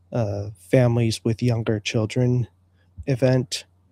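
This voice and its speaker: A man's monotone, flat delivery at a medium pitch and a very slow pace. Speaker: livestream show host. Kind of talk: solo livestream talk.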